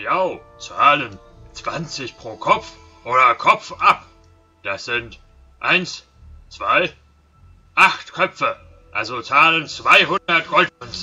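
A man performs a put-on character voice at a very slow pace. Long, frequent pauses break it up as faint music plays in the background. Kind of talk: gruff monster voice in game dialogue. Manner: menacing, dim-witted, greedy.

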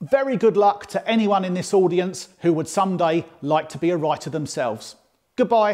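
Quiet surroundings, ordinary pitch variation, and an unforced reading voice.

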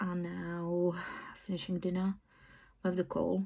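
A woman with a fairly low pitch and a somewhat breathy voice talks at a moderate pace against a quiet background. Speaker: vlogger. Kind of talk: casual vlog chat. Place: home room. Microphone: phone near.

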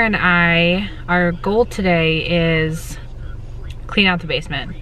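Over light background noise, a woman speaks with ordinary pitch variation in a dry sound with no echo. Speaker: vlogger. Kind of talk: casual vlog chat. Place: car. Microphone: phone near.

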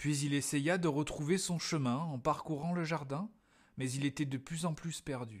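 In a very clean recording with a silent background, a man with an unremarkable speaking voice talks at a fairly slow pace and a fairly high pitch, with ordinary pitch variation. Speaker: storyteller reading to children. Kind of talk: bedtime story reading aloud. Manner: gentle, calm storyteller pacing, child-directed.

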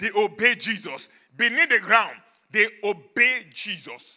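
A man speaks in a raised, projected voice with a bright, sharp tone. His pace is fairly slow against a quiet background. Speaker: preacher. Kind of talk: sermon. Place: church. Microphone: handheld.

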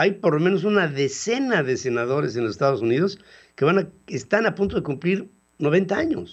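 A man speaks at a moderate pace. His pitch swings widely up and down.

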